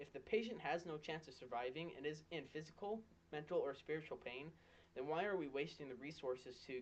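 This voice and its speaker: A man talks with ordinary pitch variation in a plain, everyday voice. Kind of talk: persuasive speech.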